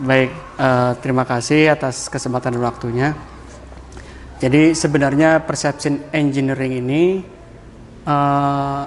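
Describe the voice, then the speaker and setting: Fairly slow, monotone speech in a strong Banyumas accent, with long, frequent pauses and noticeable background noise. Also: man, fairly high pitch for a man. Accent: strong Javanese ngapak. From Central Java, Banyumas (ngapak) area. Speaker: digital branding consultant. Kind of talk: podcast interview.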